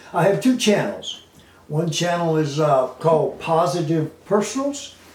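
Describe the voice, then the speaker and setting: A man at a very slow pace with ordinary pitch variation, amid noticeable background noise and audible room echo. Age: 70s. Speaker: animal advocate. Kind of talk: casual monologue to camera. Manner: halting, many fillers; unscripted, off the cuff.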